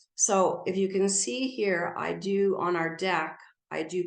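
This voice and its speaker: At a fairly slow pace, a woman speaks in a fairly low pitch with fairly even intonation. Audible room echo surrounds her voice. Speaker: garden speaker. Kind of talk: illustrated talk.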